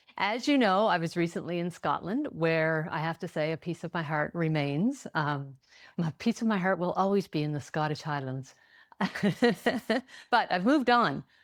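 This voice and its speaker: On a very clean recording with a silent background, a woman speaks with lively intonation at a fairly low pitch. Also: moderate pace. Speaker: podcast host. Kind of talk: podcast interview. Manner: upbeat, chatty.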